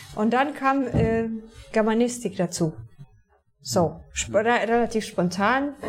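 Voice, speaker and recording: A woman with a Polish accent speaks at a fairly high pitch with ordinary pitch variation. Her pace is very slow, with long, frequent pauses. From southern Poland, near Częstochowa. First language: Polish (speaking German). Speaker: TV journalist. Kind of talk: interview. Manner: halting.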